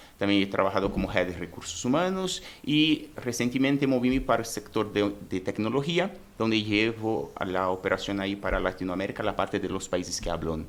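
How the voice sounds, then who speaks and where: A man's fairly low voice with a Brazilian accent, lively intonation and a fairly quick pace. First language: Portuguese (speaking Spanish). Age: 30s. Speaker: human resources director. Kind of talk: podcast interview. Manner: halting.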